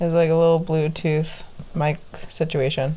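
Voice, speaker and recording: Her voice is a woman's, fairly low in pitch with a dark, mellow tone. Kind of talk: casual chat. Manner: loud talker.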